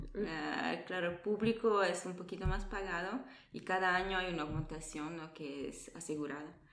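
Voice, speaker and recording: Audible room echo surrounds a woman speaking at a moderate pace in a fairly low pitch with ordinary variation. Her loudness swings a lot. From Italy, born in Peru. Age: 20s. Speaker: nurse. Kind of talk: interview.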